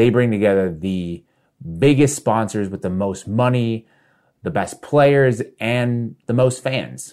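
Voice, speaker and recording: A man with a normal speaking voice talks at a medium pitch with lively intonation on a very clean recording against a silent background. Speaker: political commentator. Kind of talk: scripted commentary segment.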